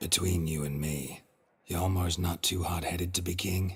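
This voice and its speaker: This man puts on a character voice that is raspy and very deep and low. His intonation stays monotone and flat. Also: moderate pace. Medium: video game. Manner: terse, dry.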